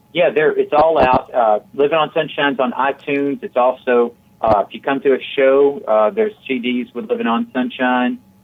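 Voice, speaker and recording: A man with an American accent speaks in a fairly high pitch at a moderate pace. His pitch swings very widely. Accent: Southern US, somewhat evened out. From Tennessee, Chattanooga. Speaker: country singer-songwriter. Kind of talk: radio interview.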